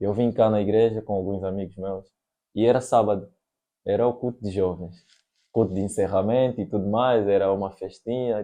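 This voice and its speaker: With a plain, everyday voice, a man speaks at a moderate pace and a fairly low pitch, his intonation fairly even. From Angola. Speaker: podcast host. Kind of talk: casual chat.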